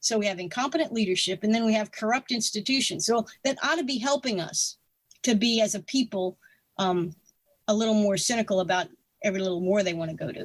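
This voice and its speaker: Somewhat breathy, a woman talks at a very fast pace in a fairly high pitch. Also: ordinary pitch variation. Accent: American. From US South, North Carolina mountains. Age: 60s. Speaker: retired air force officer and writer. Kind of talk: interview conversation. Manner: halting, many fillers and restarts.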